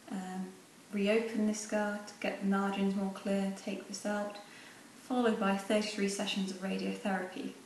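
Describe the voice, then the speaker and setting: A woman's medium-pitched voice with an English accent, flat monotone delivery, moderate pace, noticeable background noise and audible room echo. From England. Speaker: pageant contestant. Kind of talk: video selfie testimony. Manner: hesitant with fillers.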